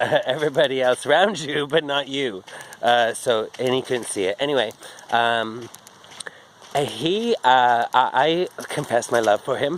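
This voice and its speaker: A man's voice over noticeable background noise. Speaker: vlogger. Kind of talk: casual vlog monologue. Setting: outdoors, walking. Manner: slurred speech; rambling, halting with fillers.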